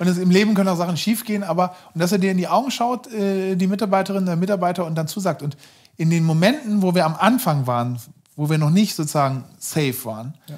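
Against a quiet background, a man speaks at a very fast pace with a high pitch and lively intonation. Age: 40s. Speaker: startup founder and CEO, former investment banker; interview guest. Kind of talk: casual interview conversation; interview answer. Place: home room.

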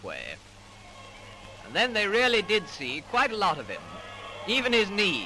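A man speaks at a moderate pace in a high, raised and projected voice over noticeable background noise. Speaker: newsreel narrator. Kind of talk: 1930s newsreel commentary. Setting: vintage film soundtrack recording.

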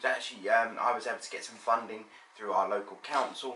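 A man is speaking. Room echo is audible. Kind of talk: casual vlog chat. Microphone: phone near.

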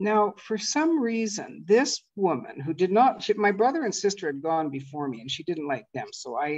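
A woman speaks at a moderate pace and a medium pitch, her pitch swinging very widely. The background is quiet. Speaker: personal development coach; presenter. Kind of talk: online master class talk. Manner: conversational. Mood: humorous, self-deprecating. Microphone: video call.

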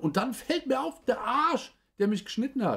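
With lively intonation, a man talks at an extremely high pitch. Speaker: toy review streamer. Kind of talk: live stream building commentary. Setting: live stream. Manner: animated. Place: home room.

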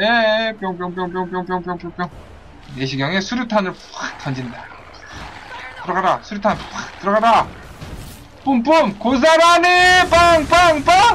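Very slow and marked by long, frequent pauses, a man's raised, projected voice sits high in pitch and swings very widely. Noticeable background noise runs underneath. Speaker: video game streamer. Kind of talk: live gameplay commentary. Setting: online livestream with chat viewers. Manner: animated, playful, joking.

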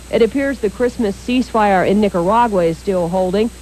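Through noticeable background noise, a woman at medium pitch speaks with lively intonation. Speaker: news anchor. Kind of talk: 1980s TV news reading, scripted broadcast. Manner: formal; brisk, even, authoritative newsreader delivery.

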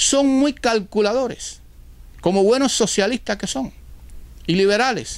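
A man's high-pitched voice at a fairly slow pace, with ordinary pitch variation and long, frequent pauses. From Cuba. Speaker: political commentator. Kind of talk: political monologue. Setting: at home. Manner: formal. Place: home room. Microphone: lapel.

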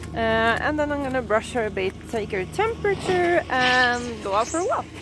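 With very wide pitch swings, a woman speaks at a high pitch and moderate pace, her voice dry with no echo against noticeable background noise. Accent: Swedish. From Sweden. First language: Swedish. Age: 30s. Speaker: riding instructor. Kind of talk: casual vlog talk to camera. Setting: outdoors. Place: open country. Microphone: phone near.

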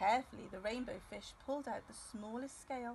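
At a fairly quick pace, a woman speaks in a fairly high pitch with a slightly mellow tone and ordinary pitch variation.

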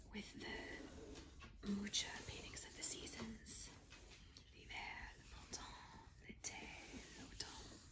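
Against noticeable background noise, a woman speaks very slowly with long, frequent pauses. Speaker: ASMR creator. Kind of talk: ASMR talk while doing a jigsaw puzzle. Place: home room. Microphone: phone near.

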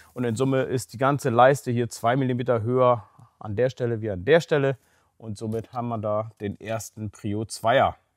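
In a dry sound with no echo and a quiet background, a man speaks at a moderate pace. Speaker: car quality reviewer. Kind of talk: review commentary. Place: garage.

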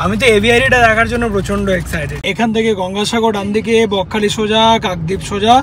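The intonation is fairly even. The sound is dry with no echo, over light background noise. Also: man. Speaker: family vlogger. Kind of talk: casual vlog chat. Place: car.

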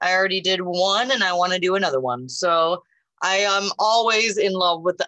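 Against quiet surroundings, someone reads in a natural reading voice.

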